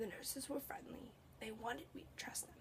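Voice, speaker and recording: The speaker is whispering at a moderate pace. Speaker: student. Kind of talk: manuscript reading of personal narrative.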